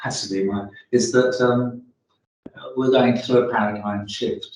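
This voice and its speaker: A man with an English accent, medium pitch and a fairly slow pace. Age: 70s. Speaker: retired research chemist, group member. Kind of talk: group meeting discussion.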